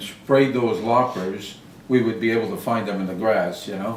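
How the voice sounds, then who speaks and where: Against noticeable background noise and audible room echo, the voice moves at a fairly slow pace with fairly even intonation. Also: man. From southern Maine. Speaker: lawn service business owner, Air Force veteran. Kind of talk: interview. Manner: halting, many fillers.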